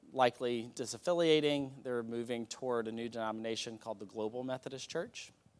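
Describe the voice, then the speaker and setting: A man's medium-pitched voice with ordinary pitch variation, a plain, everyday voice. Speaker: church delegate. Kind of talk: public report to congregation.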